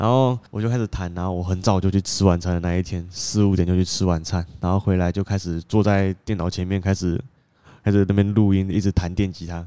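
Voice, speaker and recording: In a very clean recording with a silent background, a man with a very deep, low pitch and a dark, mellow tone talks at a fairly quick pace in a flat monotone. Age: young. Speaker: musician and co-host. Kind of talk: casual chat.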